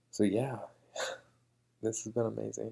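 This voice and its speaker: The man is soft-spoken. He keeps his voice soft throughout. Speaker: tech vlogger, iOS developer. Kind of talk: casual vlog. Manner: quiet, soft-spoken; hesitant, many fillers.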